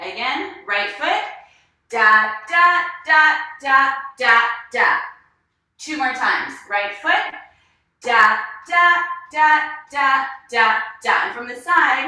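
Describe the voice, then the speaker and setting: Her voice is raised and projected, high-pitched and bright, sharp in tone, swinging very widely in pitch and a lot in loudness. The woman speaks very slowly with long, frequent pauses amid audible room echo. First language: not English. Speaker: dance instructor. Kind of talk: online dance class. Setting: live video class. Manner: animated.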